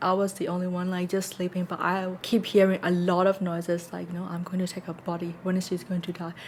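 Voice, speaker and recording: A woman with a non-native accent speaks at a very fast pace with hardly any pauses. Her medium-pitched voice is somewhat breathy, with monotone, flat intonation. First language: not English. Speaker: podcast co-host. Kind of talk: casual chat.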